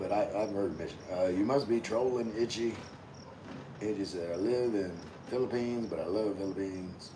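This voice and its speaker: A man with an American accent speaks at fairly low pitch with fairly even intonation. Room echo is audible. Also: moderate pace. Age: 50s. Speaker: vlogger, navy veteran. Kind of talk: livestream chat reading comments. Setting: outdoors.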